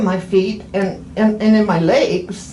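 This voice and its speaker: There is audible room echo and noticeable background noise as a woman speaks at a medium pitch. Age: 80s+. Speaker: patient. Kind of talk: casual chat. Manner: halting.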